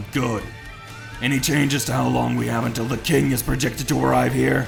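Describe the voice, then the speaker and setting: A man's put-on character voice at a fairly quick pace, with loud music in the background. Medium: read story.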